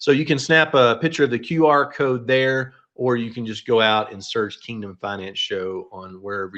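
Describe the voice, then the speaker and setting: Against a quiet background, a man with a plain, everyday voice and medium pitch talks at a moderate pace, his intonation lively and his loudness swinging widely. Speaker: financial advisor, company founder. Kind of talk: webinar presentation. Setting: online webinar.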